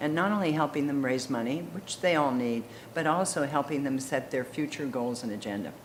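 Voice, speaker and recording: A woman with a very deep, low voice speaks at a fairly quick pace with ordinary pitch variation. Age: 80s+. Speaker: arts administrator. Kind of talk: interview answer.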